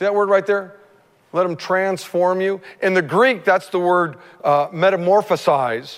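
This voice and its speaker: A man with a high-pitched voice, fairly slow delivery and ordinary pitch variation. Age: 50s. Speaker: pastor. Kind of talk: sermon. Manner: animated.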